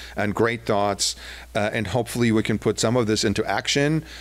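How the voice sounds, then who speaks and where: With a German accent, a man speaks at a moderate pace in a fairly low pitch with ordinary pitch variation. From Germany. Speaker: downtown business association executive. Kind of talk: public presentation. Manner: hesitant, many fillers.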